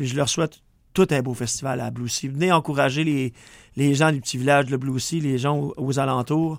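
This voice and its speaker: In a Quebec accent, a man with a fairly high pitch talks at a moderate pace with fairly even intonation. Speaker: country singer. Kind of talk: radio interview. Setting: radio studio.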